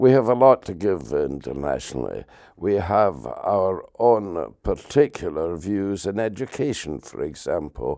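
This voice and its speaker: In a Scottish accent, a man speaks at a fairly slow pace with a dark, mellow tone, a fairly low pitch, and lively intonation over a very clean recording with a silent background. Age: 80s+. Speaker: political campaigner. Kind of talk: interview.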